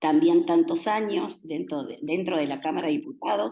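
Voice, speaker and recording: Her pitch sits in the medium range for a woman. This woman's voice swings very widely up and down. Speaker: national legislator. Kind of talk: talk to an audience.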